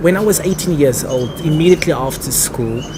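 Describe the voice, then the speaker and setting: A man talks with a South African accent. Noticeable background noise and audible room echo surround his voice. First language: Afrikaans. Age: 20s. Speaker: actor and theatre director. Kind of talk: interview.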